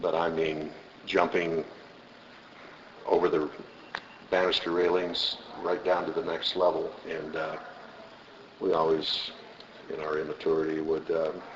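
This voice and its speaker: Over noticeable background noise, a man with an American accent and a very deep, low voice speaks fairly slowly in a monotone, flat intonation, with long, frequent pauses. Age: 60s. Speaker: interviewee, former student. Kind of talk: oral history interview. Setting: school building foyer.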